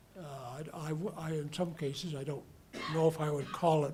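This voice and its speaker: The speaker keeps a moderate pace. An echo from the room is audible. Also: man. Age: 60s. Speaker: volunteer receiving community award. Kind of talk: acceptance speech. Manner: halting.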